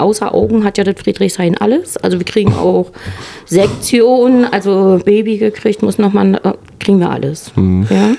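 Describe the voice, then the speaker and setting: A woman speaks with a northern German accent at a moderate pace and medium pitch. Her pitch varies in an ordinary way, and there is noticeable background noise. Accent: northern German, still audible. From Mecklenburg-Western Pomerania. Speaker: intensive care nurse. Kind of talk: casual chat. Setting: hotel lounge.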